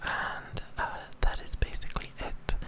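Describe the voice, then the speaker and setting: Someone whispers over noticeable background noise. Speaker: ASMR creator. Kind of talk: ASMR rambling talk. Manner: whispered.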